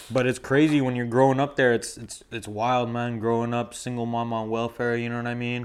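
Over a very clean recording with a silent background, a man speaks fairly quickly at medium pitch with hardly any pauses. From Montreal, Canada (Verdun). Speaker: film photographer and clothing brand owner. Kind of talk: casual chat. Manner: animated.

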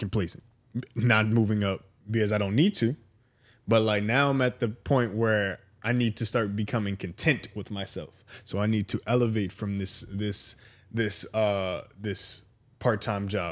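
In a very clean recording with a silent background, a man with a fairly low pitch talks at a fairly slow pace in an unremarkable speaking voice, his intonation fairly even. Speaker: guest co-host. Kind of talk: casual chat. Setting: guest's home.

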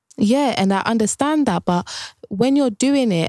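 With a London accent, a woman speaks at a moderate pace in a dark, mellow tone and lively intonation, in a very clean, dry, close recording with a silent background and no echo. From Ghanaian heritage, raised in UK. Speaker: podcast co-host. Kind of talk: casual chat.

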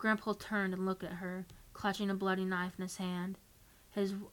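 This is someone reading aloud in a natural voice. The delivery stays natural throughout.

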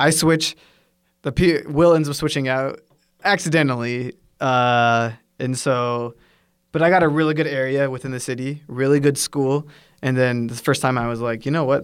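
A man with a Pacific Northwest accent speaks at a medium pitch and moderate pace with fairly even intonation, on a very clean recording with a silent background. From US, Washington State. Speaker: English teacher. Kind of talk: casual chat.

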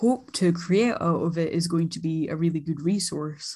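A woman's dark, mellow, somewhat breathy voice, fairly low in pitch, at a fairly slow pace with fairly even intonation. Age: 20s. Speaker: podcast co-host, art student. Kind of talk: casual chat.

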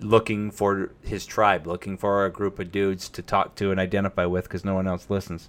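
A fairly low-pitched man at a fairly quick pace, monotone with flat intonation. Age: 30s. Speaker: streamer and podcast host. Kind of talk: casual live-stream talk about mental health. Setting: home live stream with microphone. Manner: casual, with frequent fillers and restarts.

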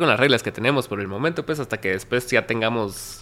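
A man's bright, sharp tone comes through with ordinary pitch variation. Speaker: podcast host. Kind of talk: casual interview.

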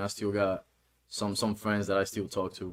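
A man with a Honduran accent talks at a fairly quick pace. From Honduras. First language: Spanish. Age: 20s. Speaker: guest. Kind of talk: casual chat, interview. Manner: relaxed, sometimes searching for words.

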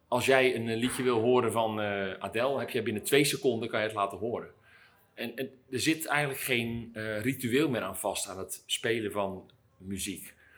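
Moderate pace and ordinary pitch variation in a man's medium-pitched voice. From Netherlands, Dordrecht. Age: 50s. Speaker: record shop owner. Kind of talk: interview monologue. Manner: halting.

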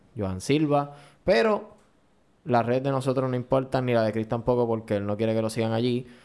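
In a plain, everyday voice, a man talks at a medium pitch with fairly even intonation. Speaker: podcast host. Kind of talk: casual chat.

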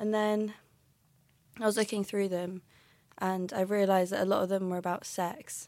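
With a southern English accent, a woman speaks at a moderate pace with fairly even intonation in a very clean recording with a silent background. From London. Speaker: university student and playwright. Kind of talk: casual interview.

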